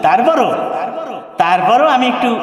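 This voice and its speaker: Male speech with audible room echo, plus light background noise. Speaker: Islamic preacher and Quran reciter. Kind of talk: waz mahfil sermon to a live audience. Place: stage. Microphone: handheld.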